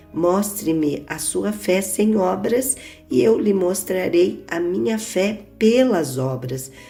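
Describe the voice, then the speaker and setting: Over music in the background, a woman speaks at a very slow pace with a medium pitch and lively intonation. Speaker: pastor, Bible reader. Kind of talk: Bible reading, religious narration.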